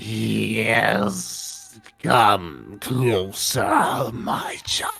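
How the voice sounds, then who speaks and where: In a put-on character voice, a man sounds raspy and hissing, with faint music in the background. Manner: beckoning, menacing.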